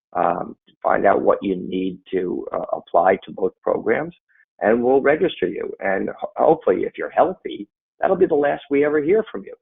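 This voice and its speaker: Big swings in loudness from a man talking at a moderate pace. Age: 60s. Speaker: attorney. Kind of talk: interview. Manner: halting.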